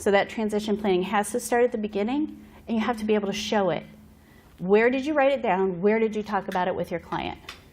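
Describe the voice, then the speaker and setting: A woman at a medium pitch speaks at a very fast pace with ordinary pitch variation, and noticeable background noise is present. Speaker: behavioral health consultant. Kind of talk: conference presentation. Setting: conference room with audience.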